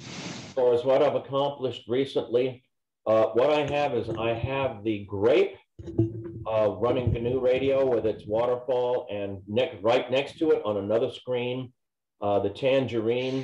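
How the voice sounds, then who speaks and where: A man talks at a fairly slow pace with fairly even intonation. Music plays behind him. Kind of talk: meeting status update. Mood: friendly, relaxed. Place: workshop. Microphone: video call.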